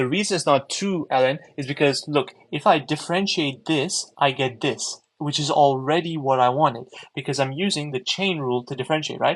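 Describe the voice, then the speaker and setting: A man with a fairly high pitch and an American accent, ordinary pitch variation, hardly any pauses, and a very clean recording with a silent background. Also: moderate pace. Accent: sounds American. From mixed, raised in different parts of the world. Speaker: maths tutor livestreamer. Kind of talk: tutorial. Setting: livestream. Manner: conversational, answering chat.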